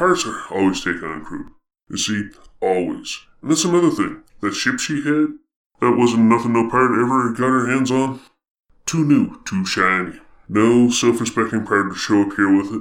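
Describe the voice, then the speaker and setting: A man adopts a put-on character voice pitched in the medium range. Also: moderate pace. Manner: gruff, folksy, rambling.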